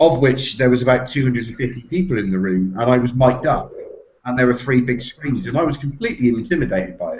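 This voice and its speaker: Somewhat breathy and very fast, the voice carries a West Country accent and ordinary pitch variation. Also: man, medium pitch for a man. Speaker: SEO professional. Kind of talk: casual chat. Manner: halting.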